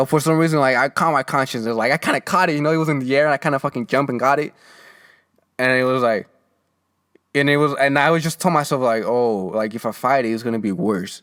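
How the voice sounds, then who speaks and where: A man with a Mexican accent speaks at a very fast pace, medium in pitch with ordinary pitch variation. The recording is very clean, with a silent background. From Mexico. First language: Spanish. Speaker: podcast host. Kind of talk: casual monologue. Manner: halting, many restarts and fillers.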